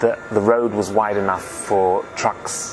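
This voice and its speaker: Music plays in the background as a man talks at a moderate pace. His fairly low voice stays monotone, with flat intonation. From England (moved from Germany at seven). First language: German. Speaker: film director. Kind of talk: interview.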